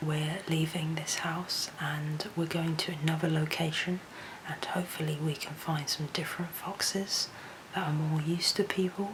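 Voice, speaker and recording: Quiet and monotone with flat intonation, a woman speaks at a moderate pace in a very deep, low pitch over noticeable background noise. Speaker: wildlife photographer and vlogger. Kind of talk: travel vlog narration. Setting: remote house at night.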